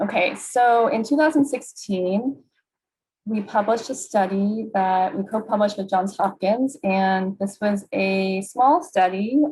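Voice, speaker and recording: A woman speaks at a fairly slow pace in a somewhat breathy voice, her medium pitch moving with ordinary variation. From US Northeast, New York City. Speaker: clinical psychologist and researcher. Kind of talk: webinar presentation.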